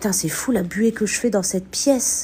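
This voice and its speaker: A woman's animated, somewhat breathy voice at medium pitch, lively in intonation and fairly slow in pace. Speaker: urban explorer and spiritual medium streamer. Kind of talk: live stream commentary while exploring. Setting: abandoned house, live stream.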